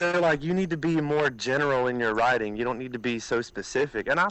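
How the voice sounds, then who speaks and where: With an Alabama accent, a man of medium pitch talks at a very fast pace with hardly any pauses and lively intonation. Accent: Southern US (Alabama). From US South, southeast Alabama. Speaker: country music singer-songwriter. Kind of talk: interview.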